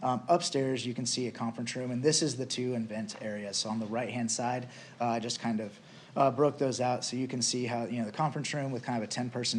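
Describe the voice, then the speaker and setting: With audible room echo, a man speaks at a fairly quick pace with fairly even intonation. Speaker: business owner applicant. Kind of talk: council presentation. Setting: city council meeting. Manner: hesitant, many fillers.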